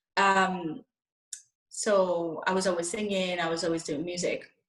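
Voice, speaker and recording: At a fairly slow pace, a woman with a Spanish accent speaks at a medium pitch. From Spain, Madrid. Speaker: soul singer. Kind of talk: interview.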